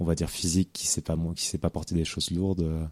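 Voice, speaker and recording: A man's very deep, low voice with a dark, mellow tone and monotone, flat intonation, dry and close with no echo, on a very clean recording against a silent background. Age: 20s. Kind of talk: interview. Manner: halting, many repetitions and fillers.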